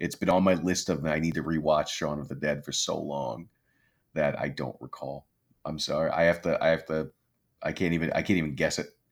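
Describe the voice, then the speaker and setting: A man's very deep, low voice with vocal fry, at a fairly quick pace and with fairly even intonation, in a very clean recording with a silent background. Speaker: podcast co-host. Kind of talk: casual chat.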